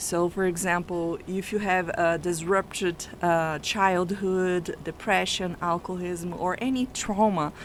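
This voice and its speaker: This woman has a non-native accent. She talks fairly slowly. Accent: foreign accent, noticeable. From Brazil. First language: not English (English is her third language). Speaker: family constellation coach. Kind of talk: radio interview. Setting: radio studio.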